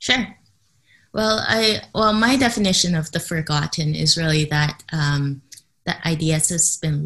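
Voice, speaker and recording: A woman with a Canadian accent talks at a fairly slow pace. Her voice is very deep and low, with ordinary pitch variation. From Canada. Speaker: entrepreneur and cognitive psychologist. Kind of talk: interview. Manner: hesitant, many fillers.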